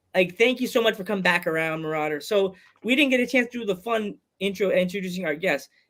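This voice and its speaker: With a Long Island accent, a man talks at a very fast pace in a high pitch, his pitch varying in an ordinary way. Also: very clean recording, silent background. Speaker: podcast host. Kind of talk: casual chat. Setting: live streamed podcast.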